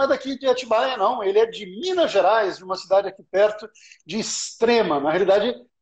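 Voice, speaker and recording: A man speaks in a Paulista accent at a fairly quick pace. His voice is high, with lively intonation. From Brazil, São Paulo. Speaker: live stream host. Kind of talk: casual live-stream interview. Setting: online live stream.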